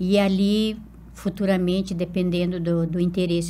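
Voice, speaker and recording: A woman speaks at a moderate pace in a somewhat breathy, dark, mellow tone, her pitch medium for a woman. Her intonation stays monotone and flat, and audible room echo surrounds her voice. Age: 70s. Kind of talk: interview.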